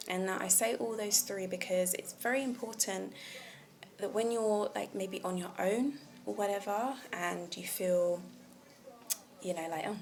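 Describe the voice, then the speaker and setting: A woman of medium pitch speaks at a fairly slow pace in a relaxed tone, with ordinary pitch variation and long, frequent pauses. Noticeable background noise is heard. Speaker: vlogger. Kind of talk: casual monologue on communication. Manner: slow and clear.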